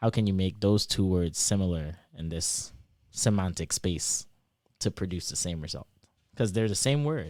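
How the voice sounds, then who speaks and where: On a very clean recording with a silent background, a man speaks with an American accent and a very deep, low pitch. His pace is moderate and his intonation lively. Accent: Trinidadian accent shifting toward American. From Trinidad and Tobago. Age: 20s. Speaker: PhD student, former track athlete. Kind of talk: casual interview.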